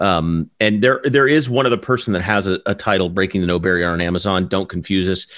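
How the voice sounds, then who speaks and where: Speaking at a fairly quick pace, a man has a very deep, low pitch with ordinary pitch variation. The recording is very clean with a silent background. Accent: American. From US South, southern Alabama. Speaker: podcast co-host. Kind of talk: casual chat. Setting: live stream. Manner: animated.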